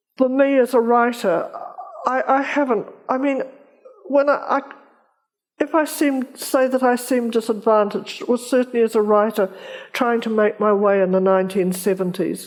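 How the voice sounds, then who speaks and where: With a New Zealand accent, the speaker talks at a moderate pace and very even loudness, with ordinary pitch variation and long, frequent pauses. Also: woman, high pitch for a woman. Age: 80s+. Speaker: novelist. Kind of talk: festival interview. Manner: halting.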